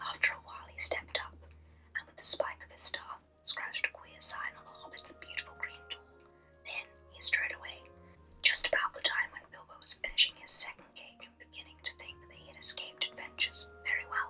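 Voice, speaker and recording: Whispering with a British accent, a woman talks at a fairly quick pace, her loudness swinging widely over music in the background. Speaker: ASMR creator. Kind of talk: reading aloud. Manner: whispered; soft-spoken.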